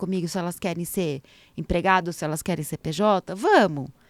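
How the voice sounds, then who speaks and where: On a very clean recording with a silent background, a woman of medium pitch speaks in an animated tone. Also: dry, close sound with no echo. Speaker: entertainment lawyer. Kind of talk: casual interview chat. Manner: fast.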